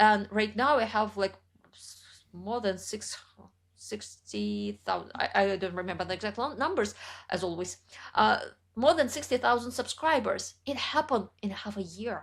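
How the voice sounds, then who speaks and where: In a very clean recording with a silent background, a woman speaks at a moderate pace with a fairly high pitch, lively intonation and vocal fry. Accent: Russian. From central Russia. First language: Russian. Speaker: writer and YouTuber. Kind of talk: interview conversation.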